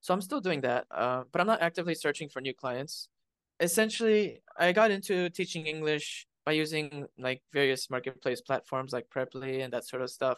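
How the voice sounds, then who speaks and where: Dry and close with no echo, a man's fairly high voice moves at a moderate pace with lively intonation over a quiet background. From Arizona, USA. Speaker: coliving space owner and English tutor. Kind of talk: casual interview chat.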